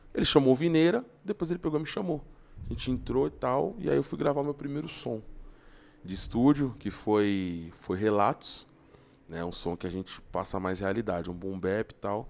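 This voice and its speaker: Using very wide pitch swings, a man speaks on a very clean recording with a silent background. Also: medium pitch for a man, moderate pace. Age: 20s. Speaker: rapper. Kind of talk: casual chat.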